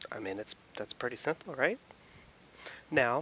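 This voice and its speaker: Fairly quick speech from a man, medium in pitch. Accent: American. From US, Philadelphia. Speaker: YouTube commentator. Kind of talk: casual commentary.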